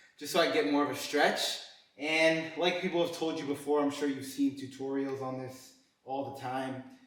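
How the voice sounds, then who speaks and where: Audible room echo surrounds a man talking at a moderate pace, his pitch fairly high with ordinary variation. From Colombia. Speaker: fitness content creator. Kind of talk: workout vlog with personal talk. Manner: hesitant, many fillers and repetitions.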